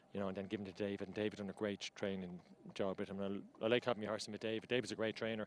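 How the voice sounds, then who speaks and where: A man's very fast, fairly low-pitched speech in an Irish accent with monotone, flat intonation. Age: 50s. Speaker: amateur jockey. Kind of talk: post-race interview. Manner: halting, repetitive.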